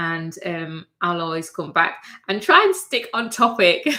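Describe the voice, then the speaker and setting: A woman with a Mancunian accent speaks at a moderate pace in a bright, sharp tone. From northern England, Manchester. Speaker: fashion designer and sewing YouTuber. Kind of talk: livestream casual chat. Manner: halting, many fillers.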